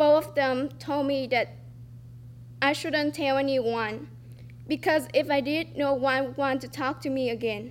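A woman speaks with a Vietnamese accent at a fairly slow pace. Her speech has long, frequent pauses. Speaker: student storyteller. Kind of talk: reading aloud a personal essay. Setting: stage with audience.

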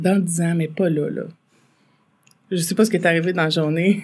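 Speaking with a Quebec accent, a woman with a very deep, low pitch moves at a fairly quick pace in fairly even intonation. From Quebec, Farnham area. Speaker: entrepreneur, bakery owner. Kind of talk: casual interview.

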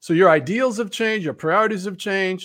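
The speaker has a slight New Jersey accent and ordinary pitch variation. The recording is very clean, with a silent background. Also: man. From New Jersey, Montclair. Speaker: author. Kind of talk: casual chat.

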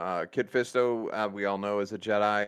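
A man with an American accent, fairly low in pitch, against a quiet background. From Michigan. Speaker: gaming podcast co-host. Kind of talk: casual chat.

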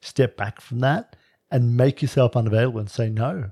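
Somewhat breathy, dark, mellow man's voice of medium pitch at a moderate pace, in a dry, close sound with no echo and a very clean recording with a silent background. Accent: Australian. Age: 50s. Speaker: relationship podcast co-host. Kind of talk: casual chat. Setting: at home.

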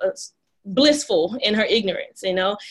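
An ordinary speaking voice from a woman with an American accent, fairly high-pitched and fairly quick. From Dallas, Texas (Oak Cliff). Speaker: dentist and practice owner. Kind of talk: interview conversation.

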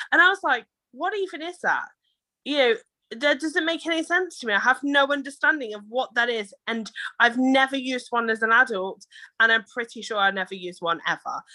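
A woman with a British accent projects a raised voice at a fairly quick pace, her high pitch swinging very widely and her tone bright and sharp, on a very clean recording with a silent background. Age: 30s. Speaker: entrepreneur. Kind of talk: casual chat.

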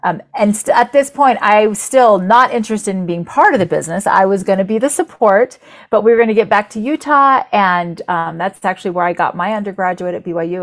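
A woman with an American accent talks at a medium pitch at a fairly quick pace. She has a normal speaking voice with lively intonation. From Florida, US. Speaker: entrepreneur, company founder. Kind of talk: interview.

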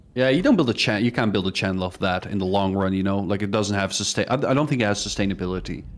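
A man's fairly low voice with a non-native accent, very fast and with hardly any pauses, its pitch varying in an ordinary way. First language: not English. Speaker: gaming youtuber. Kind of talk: casual chat.

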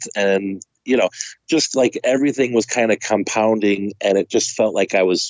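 A man talks in a plain, everyday voice, fairly low in pitch, at a moderate pace with ordinary pitch variation. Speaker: podcast co-host. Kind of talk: casual chat.

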